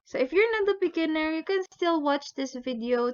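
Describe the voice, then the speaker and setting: A woman with a Visayan accent talks with lively intonation. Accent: Bisaya. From Philippines. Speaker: language teacher. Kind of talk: tutorial.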